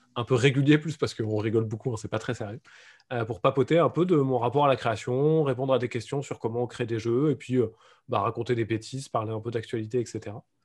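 The delivery is very fast and somewhat breathy. Intonation stays fairly even. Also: man. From France. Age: adult. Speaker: board game designer. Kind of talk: casual chat.

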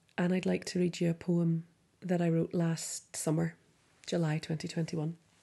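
Against a quiet background, a woman with a Derry accent speaks fairly slowly at a fairly low pitch with fairly even intonation. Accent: Northern Irish (Derry). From Northern Ireland, Derry. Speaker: poet and doctor. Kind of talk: poetry prompt introduction; poetry reading.

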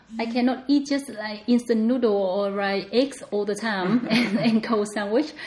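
Fairly high-pitched woman with a Vietnamese accent, moderate pace, hardly any pauses and fairly even intonation, over noticeable background noise. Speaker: home cook and podcast guest. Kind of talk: casual interview chat.

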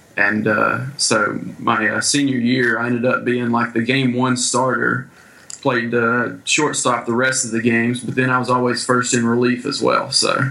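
Over noticeable background noise, a man at medium pitch speaks at a fairly slow pace with monotone, flat intonation. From US small town. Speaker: baseball player and coach abroad. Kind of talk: casual interview.

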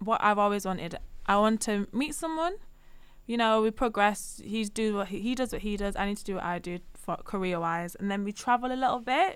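Fairly quick and at medium pitch, a woman speaks in a normal speaking voice on a very clean recording with a silent background. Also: ordinary pitch variation. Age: 20s. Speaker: voiceover artist. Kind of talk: casual chat.

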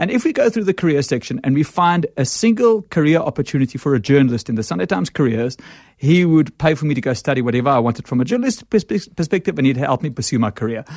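Very fast male speech at a fairly high pitch, with very wide pitch swings and hardly any pauses, on a very clean recording with a silent background. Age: 30s. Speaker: media executive. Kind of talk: interview. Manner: halting, many fillers and repeats.

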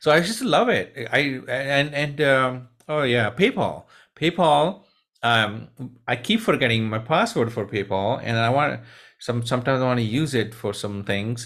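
A non-native accent at a moderate pace with ordinary pitch variation, on a very clean recording with a silent background. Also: man, medium pitch for a man. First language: not English. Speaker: tech podcast co-host. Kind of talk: casual chat. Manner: halting.

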